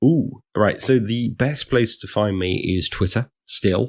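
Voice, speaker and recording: A man with a British accent speaks with ordinary pitch variation on a very clean recording with a silent background. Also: dry, close sound with no echo. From England. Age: 40s. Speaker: security consultant / ethical hacker. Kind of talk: podcast interview. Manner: hesitant, many fillers.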